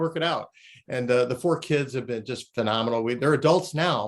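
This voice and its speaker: A man talks at a fairly quick pace and medium pitch, with ordinary pitch variation. It is a plain, everyday voice. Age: 60s. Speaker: company co-founder and leadership coach. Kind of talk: interview conversation.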